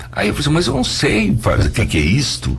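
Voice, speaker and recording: With music playing behind him, a man speaks with very wide swings in pitch. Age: 60s. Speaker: visual artist. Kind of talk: interview. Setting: radio studio.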